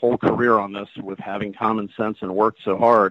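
A man with an American accent speaks at a fairly low pitch. His intonation is monotone and flat, and his pace fairly quick. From Washington, D.C. area. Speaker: actor and look-alike performer. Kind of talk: interview conversation.

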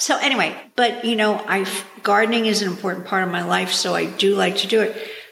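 A woman talks at a fairly quick pace, medium in pitch and fairly even in intonation. There is noticeable background noise. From New York. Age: 60s. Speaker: gardener, host's mother. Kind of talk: casual interview. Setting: in person on a couch at home.

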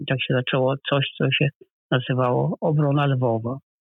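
A man speaks at a fairly slow pace. His medium pitch carries fairly even intonation. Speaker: professor, historian. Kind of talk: interview. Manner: halting.

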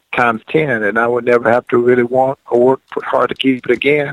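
A man's medium-pitched voice with an American accent, fairly quick and monotone, with a dry, close sound and no echo. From Georgia, US South. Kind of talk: casual radio interview chat. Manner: relaxed, folksy, storytelling.

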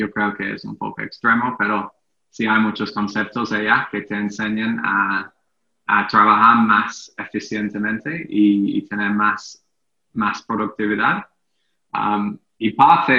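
This man speaks very slowly with an English accent. His pitch is fairly low. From England. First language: English (speaking Spanish). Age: 30s. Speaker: entrepreneur. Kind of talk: interview. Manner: halting.

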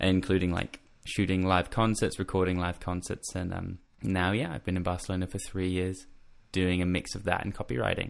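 This man talks fairly quickly, his voice very deep and low. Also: fairly even intonation. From Australia. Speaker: music journalist and copywriter. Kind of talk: casual interview chat. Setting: video call from bedroom in quarantine.

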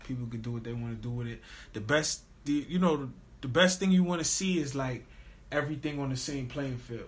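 With an American accent, a man talks at a fairly quick pace in a fairly high, somewhat breathy voice with ordinary pitch variation. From Queens, New York. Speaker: rapper. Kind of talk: casual interview chat.

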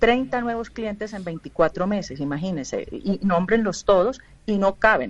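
A woman with an unremarkable speaking voice at a medium pitch speaks with big swings in loudness. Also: fairly slow pace. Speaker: film and TV producer. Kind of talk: radio panel discussion.

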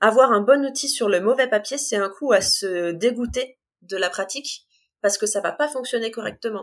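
A woman talks at a moderate pace in a fairly high pitch, using an ordinary speaking voice. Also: ordinary pitch variation. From northern France, Compiègne (Oise). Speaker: art supplies shop assistant and illustrator. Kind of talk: interview.

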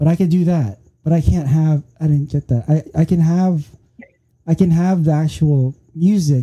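Somewhat breathy and dark, mellow in tone, a man's fairly high voice moves at a moderate pace with ordinary pitch variation in a dry, close sound with no echo. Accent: American. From Philippines, then California Bay Area. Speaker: podcast host. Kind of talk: casual chat.

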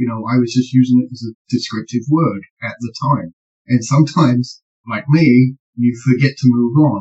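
A man's somewhat breathy voice, fairly even in intonation but with big swings in loudness. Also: medium pitch for a man, moderate pace. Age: old. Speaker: paranormal podcast co-host. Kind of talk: casual discussion.

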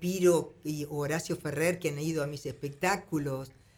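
Fairly slow speech from a woman with a very deep, low voice. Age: 60s. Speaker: singer. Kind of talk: interview.

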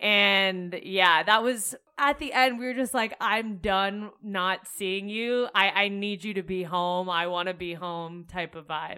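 With a normal speaking voice, a woman talks at a fairly slow pace in a medium pitch, using ordinary pitch variation and hardly any pauses. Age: young. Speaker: podcast co-host. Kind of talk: casual chat.

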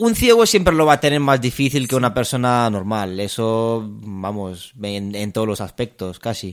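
A man talks with hardly any pauses. The recording is very clean, with a silent background. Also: medium pitch for a man, ordinary pitch variation, moderate pace. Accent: Romanian. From Romania. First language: Romanian (speaking Spanish). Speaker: music student. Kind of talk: interview. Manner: halting.

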